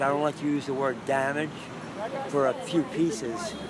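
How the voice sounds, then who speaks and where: Through noticeable background noise, a man speaks at a fairly high pitch with fairly even intonation. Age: 70s. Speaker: mosaic artist and Vietnam veteran. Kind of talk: casual interview on location. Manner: halting, many fillers.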